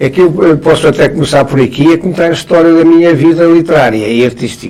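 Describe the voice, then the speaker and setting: Noticeable background noise accompanies a man with a fairly high pitch. He speaks at a moderate pace with ordinary pitch variation. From northern Portugal, Trás-os-Montes (Barroso). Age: 80s+. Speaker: veteran journalist and writer. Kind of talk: interview. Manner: halting, many repetitions.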